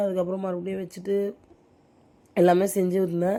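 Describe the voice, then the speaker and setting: Monotone, flat intonation at a medium pitch from a woman. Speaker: home cooking vlogger. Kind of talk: casual vlog chat. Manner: halting, pausing to breathe.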